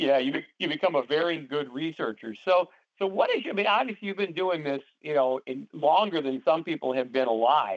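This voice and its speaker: Speaking at a fairly quick pace in a normal speaking voice, a man uses lively intonation and a fairly high pitch. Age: 60s. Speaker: paranormal society co-founder and call host. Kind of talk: interview on conference call. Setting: conference call. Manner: many fillers and repetitions.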